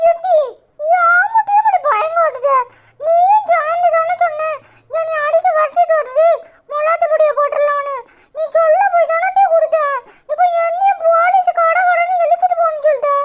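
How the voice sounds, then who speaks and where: The cartoonish character voice moves at a fairly slow pace and makes very wide pitch swings. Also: woman, extremely high pitch for a woman. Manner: cheeky.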